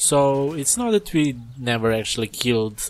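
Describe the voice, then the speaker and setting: Noticeable background noise can be heard. Over it, a man talks at a moderate pace. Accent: non-native. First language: not English. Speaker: gaming YouTuber. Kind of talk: casual game review rant.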